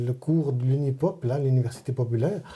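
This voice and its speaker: Somewhat breathy, a man speaks at medium pitch and a moderate pace with a dark, mellow tone and ordinary pitch variation. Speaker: Vaud patois learner. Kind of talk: interview answer. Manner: casual, conversational.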